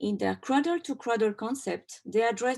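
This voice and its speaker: Against a quiet background, a woman speaks with a French accent. Her intonation is lively and her pace moderate. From France. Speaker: textile designer and doctoral researcher. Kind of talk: conference presentation.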